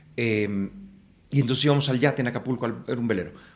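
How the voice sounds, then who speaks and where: A man's very fast speech at a medium pitch. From Mexico City. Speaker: actor and playwright. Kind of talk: casual interview. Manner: animated.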